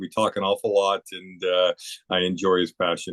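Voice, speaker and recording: Moderate pace from a man with a very deep, low voice. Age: 60s. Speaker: junior hockey general manager and former coach. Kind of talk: interview. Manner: hesitant, many filler uhs.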